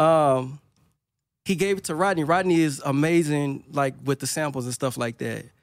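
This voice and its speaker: With a Louisiana accent, a man talks at a moderate pace in a fairly high pitch, recorded very cleanly against a silent background. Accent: Louisiana Southern US. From Monroe, northern Louisiana. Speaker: music producer. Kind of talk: casual interview chat. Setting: studio.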